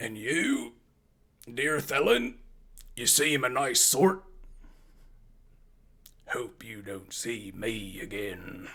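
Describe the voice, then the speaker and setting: Using a put-on character voice, a man speaks raspily at a medium pitch and a very slow pace, with lively intonation and long, frequent pauses. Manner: hissing, sly.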